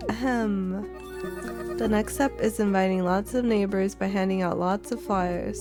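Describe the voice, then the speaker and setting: A woman speaks with music in the background. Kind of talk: live game stream commentary. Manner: whispered.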